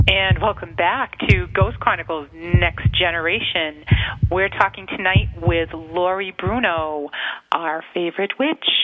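A woman with an American accent speaks at a fairly slow pace and a fairly low pitch with ordinary pitch variation over noticeable background noise. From Massachusetts. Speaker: radio co-host. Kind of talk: casual chat. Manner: excitable.

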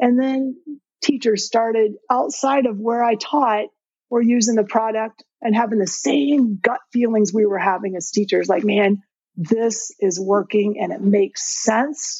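A woman's plain, everyday voice with an American accent, fairly high in pitch, with ordinary pitch variation at a fairly slow pace. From Indiana. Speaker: retired teacher and ed tech founder. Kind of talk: interview.

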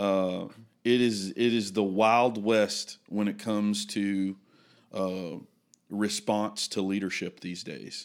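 Speaking at a very slow pace, a man with a Southern US accent keeps his intonation fairly even. The recording is very clean, with a silent background. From Mississippi. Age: 30s. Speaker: pastor. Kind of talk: casual chat. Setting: studio. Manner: halting.

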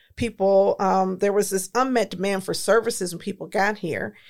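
A woman with an American accent and an ordinary speaking voice talks at medium pitch and a moderate pace. Her intonation is fairly even, and the recording is very clean with a silent background. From Detroit, Michigan, US. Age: 50s. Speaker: community nonprofit leader. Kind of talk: history lesson in podcast discussion.

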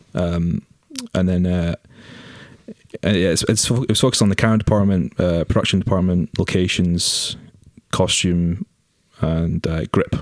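A man talks in a very deep, low pitch with ordinary pitch variation. Long pauses come often. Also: moderate pace, dry, close sound with no echo. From Scotland, Aberdeen. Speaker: film camera trainee. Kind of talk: casual chat.

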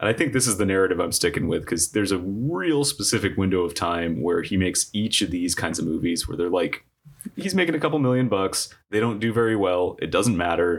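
An ordinary speaking voice at a fairly quick pace, with lively intonation. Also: man, fairly low pitch for a man. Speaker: producer. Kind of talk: casual comedy podcast banter.

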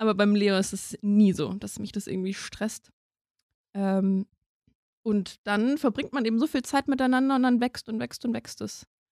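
A woman speaks at a fairly slow pace with a fairly high pitch. The very clean recording has a silent background and a dry, close sound with no echo. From Germany, near Mainz. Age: 30s. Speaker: lawyer and new mother. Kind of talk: personal interview.

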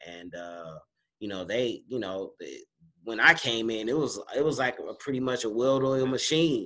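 A man with an American accent and a plain, everyday voice talks at a moderate pace and medium pitch, with lively intonation and big swings in loudness. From Los Angeles (Inglewood, South Central). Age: 40s. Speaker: actor. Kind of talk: casual interview. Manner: laid-back, many fillers.

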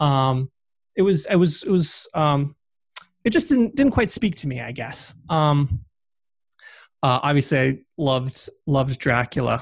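A somewhat breathy man with an American accent speaks at a fairly high pitch and a fairly slow pace, with long, frequent pauses. The recording is very clean, the background silent. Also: lively intonation. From Massachusetts, US. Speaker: author. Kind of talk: interview. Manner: hesitant, many fillers.

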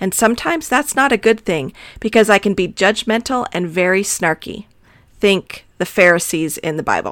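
On a very clean recording with a silent background, a woman with an American accent uses an unremarkable speaking voice at a medium pitch, with lively intonation and a moderate pace. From Arizona. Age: middle-aged. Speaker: podcast host. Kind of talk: solo podcast monologue.

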